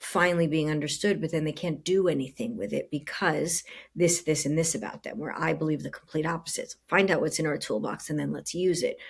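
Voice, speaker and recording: With vocal fry and a very deep, low pitch, a woman talks at a fairly quick pace with hardly any pauses and ordinary pitch variation. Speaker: coach and podcast host. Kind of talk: casual chat. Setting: home living room. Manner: loud; animated.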